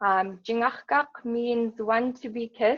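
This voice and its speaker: This is a woman speaking. She has an Alaskan accent. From southwestern Alaska, Bethel area, Yup'ik. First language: Yup'ik. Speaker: yoga teacher. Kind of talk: personal talk.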